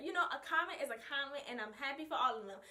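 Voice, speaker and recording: A woman speaks in an animated, raised, projected voice with a bright, sharp tone and very wide pitch swings. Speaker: vlogger and hair stylist. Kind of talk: casual vlog talk. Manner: loud.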